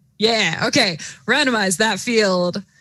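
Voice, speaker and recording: In a very clean recording with a silent background, a woman with an American accent speaks at a medium pitch, her tone bright and sharp and her pitch varying normally. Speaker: robotics competition commentator. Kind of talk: live commentary. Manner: animated.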